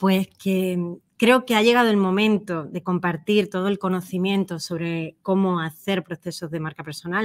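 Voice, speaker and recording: The woman's pitch is medium and her intonation fairly even. She keeps a moderate pace, and the sound is dry and close with no echo. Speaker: personal branding consultant. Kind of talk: interview.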